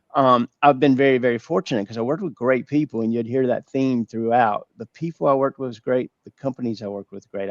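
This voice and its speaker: Delivered at a very fast pace with a Southern US accent, the speech has fairly even intonation and a dry, close sound with no echo. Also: man. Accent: North Carolina, Georgia Southern. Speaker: business owner, former accountant. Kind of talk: webinar interview.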